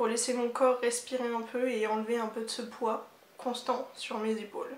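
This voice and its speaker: A woman talks in a high voice at a moderate pace. Her intonation stays monotone and flat. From Normandy, France. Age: 20s. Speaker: architecture student. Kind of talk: reading a personal written text.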